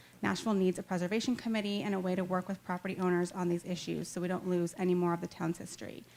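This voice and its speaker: A woman talks very fast with hardly any pauses. Her medium-pitched voice stays monotone and flat. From Arizona. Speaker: resident speaking at public comment. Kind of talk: public comment speech.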